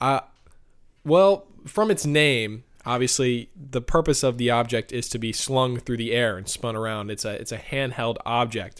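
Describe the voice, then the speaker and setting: Here is a man with a normal speaking voice and an American accent, talking at a moderate pace. His pitch is medium, with ordinary variation. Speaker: broadcast meteorologist podcast host. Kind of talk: casual podcast chat.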